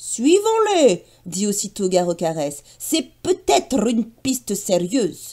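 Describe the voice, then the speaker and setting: Someone puts on a fairly high-pitched character voice, talking at a fairly slow pace with hardly any pauses. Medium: read story. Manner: scolding.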